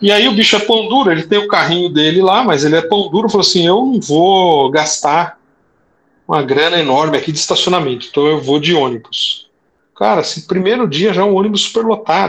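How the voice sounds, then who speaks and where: A man with a high voice talks at a fairly quick pace. His intonation is lively. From São Paulo ABC region, Brazil. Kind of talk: interview.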